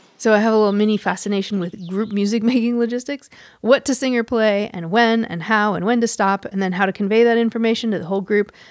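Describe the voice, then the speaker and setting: A woman's fairly high-pitched voice at a very fast pace with hardly any pauses and fairly even intonation, in a very clean recording with a silent background. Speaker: podcast host. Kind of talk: scripted narration.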